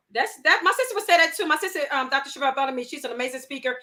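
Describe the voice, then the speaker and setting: Talking very fast in a raised, projected voice, a woman sounds animated and high-pitched. Her intonation is lively. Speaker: talk show host. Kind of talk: casual interview chat.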